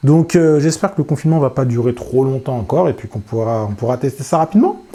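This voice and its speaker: A man speaking at a very fast pace. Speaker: FPV drone youtuber. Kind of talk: casual vlog talk to camera. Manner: hesitant, many fillers.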